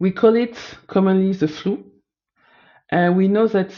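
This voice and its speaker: A woman's fairly low voice, with a French accent. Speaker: data analyst student. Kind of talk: presentation of findings. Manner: halting, self-correcting.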